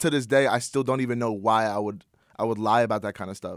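A man with an American accent talks at a fairly quick pace with fairly even intonation, in an ordinary speaking voice. The sound is dry and close, with no echo. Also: very clean recording, silent background. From US Northeast. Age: 20s. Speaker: YouTuber. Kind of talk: casual chat. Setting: studio.

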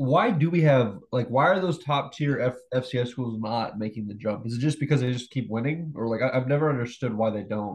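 A somewhat breathy male voice at medium pitch, fairly quick in pace with hardly any pauses and ordinary pitch variation. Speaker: podcast co-host. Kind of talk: casual sports chat.

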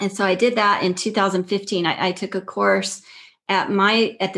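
A woman with an American accent and an ordinary speaking voice, medium in pitch, at a moderate pace with fairly even intonation against a quiet background. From Texas, El Paso. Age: 50s. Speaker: yoga teacher. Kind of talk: casual interview.

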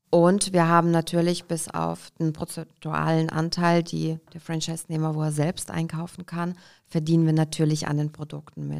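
The recording is very clean with a silent background, and the speech runs in a flat monotone. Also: woman. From Kazakhstan, raised in Hesse, Germany from age five. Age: 30s. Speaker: entrepreneur, shop franchise founder. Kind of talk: interview.

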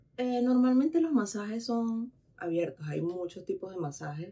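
A woman at a moderate pace, her intonation lively. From Venezuela. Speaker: massage therapist. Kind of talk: casual chat.

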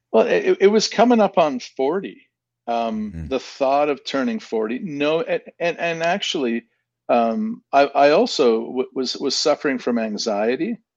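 At a moderate pace, a man with a Canadian accent speaks at a fairly high pitch with very wide pitch swings. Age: 40s. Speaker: media company CEO and entrepreneur. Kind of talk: casual interview chat. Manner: hesitant with frequent ums and repetitions.

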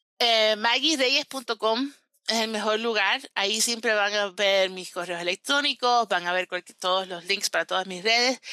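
In a very clean recording with a silent background and a dry, close sound with no echo, a woman speaks at a fairly slow pace in a fairly high pitch with a bright, sharp tone and ordinary pitch variation. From Cuban-American, raised in US. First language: English (speaking Spanish). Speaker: relationship coach. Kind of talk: interview.

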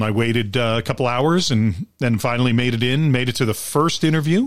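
An ordinary speaking voice from a man with an American accent, at a fairly quick pace. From Long Island, New York. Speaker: theater actor. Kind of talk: casual chat.

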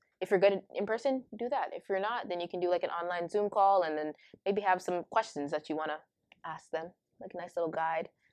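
A woman with a Toronto accent talks at a fairly quick pace and medium pitch. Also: ordinary pitch variation. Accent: Canadian (Toronto area). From Canada, Ontario (Brampton). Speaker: university student. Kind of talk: casual interview. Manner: lots of fillers, laughs often.

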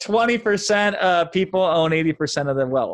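A man in an American accent with an ordinary speaking voice, ordinary pitch variation, a moderate pace and a quiet background. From US Midwest, small-town Iowa. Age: 30s. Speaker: digital marketing entrepreneur. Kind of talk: casual interview. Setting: podcast interview.

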